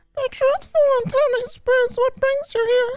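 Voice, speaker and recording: A squeaky put-on character voice comes through at an extremely high pitch and a moderate pace. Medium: game stream. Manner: solemn, refers to itself in third person.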